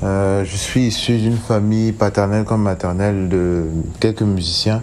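A man's fairly low voice at a very slow pace, with fairly even intonation and noticeable background noise. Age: 20s. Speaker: singer. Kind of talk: recorded self-introduction.

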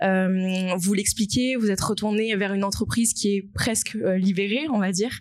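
A woman at a medium pitch, with fairly even intonation and a fairly slow pace, over noticeable background noise. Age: 20s. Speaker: social impact consultant. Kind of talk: live panel talk.

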